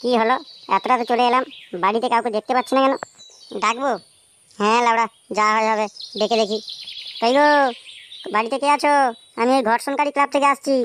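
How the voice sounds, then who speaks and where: A woman's high-pitched cartoonish character voice at a fairly quick pace, with a dry, close sound and no echo. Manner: crude, blustering.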